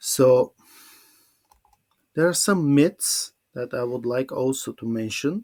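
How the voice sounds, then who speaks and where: Fairly high in pitch, a man speaks at a very slow pace with lively intonation and long, frequent pauses, in a dry, close sound with no echo. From Bulgaria. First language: Bulgarian. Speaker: English teacher. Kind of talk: webinar presentation. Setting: online webinar. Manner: halting.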